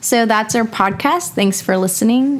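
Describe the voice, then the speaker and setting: A woman with a Texan accent, moderate pace, and ordinary pitch variation. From Texas. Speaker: medical student. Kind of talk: educational casual chat. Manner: animated.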